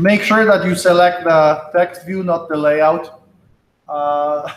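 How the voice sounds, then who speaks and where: The speech comes very slowly with fairly even intonation and audible room echo. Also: man, high pitch for a man. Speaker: college instructor. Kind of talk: lecture.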